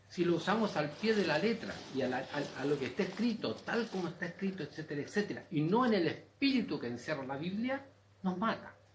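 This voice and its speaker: The speaker has a Chilean accent and talks at a moderate pace. Pitch swings very widely, and there is audible room echo. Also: man. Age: 70s. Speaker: audience member asking a question. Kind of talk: open forum comment. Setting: university auditorium panel with audience. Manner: animated.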